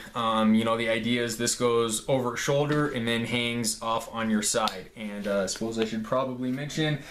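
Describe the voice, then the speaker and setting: A medium-pitched man at a moderate pace with hardly any pauses and fairly even intonation, amid audible room echo and noticeable background noise. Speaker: gear reviewer, police officer. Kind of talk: show-and-tell gear video.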